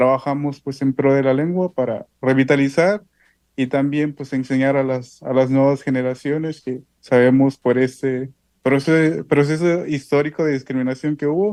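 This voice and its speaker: With a southern Mexican accent, a man speaks at a moderate pace in a dark, mellow tone, his pitch fairly high and his intonation fairly even. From Oaxaca Isthmus, Mexico (Zapotec community near Juchitán). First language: Isthmus Zapotec (speaking Spanish). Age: 20s. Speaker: poet and language activist. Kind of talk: interview.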